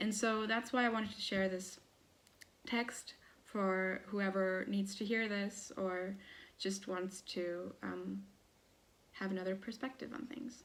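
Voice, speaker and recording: A woman's medium-pitched voice with ordinary pitch variation, fairly slow and marked by long, frequent pauses. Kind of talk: casual talk to camera.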